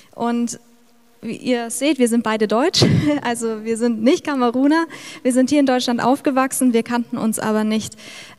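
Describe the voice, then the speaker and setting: Here a woman talks at a moderate pace in a high pitch. Noticeable background noise is present. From Middle Franconia, Bavaria. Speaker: missionary. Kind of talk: testimony. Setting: church service.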